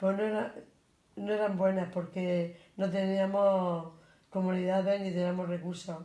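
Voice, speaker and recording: A woman speaks at a fairly slow pace in a monotone, flat intonation. The room gives audible echo. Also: medium pitch for a woman. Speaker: grandparent interviewee. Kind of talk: interview.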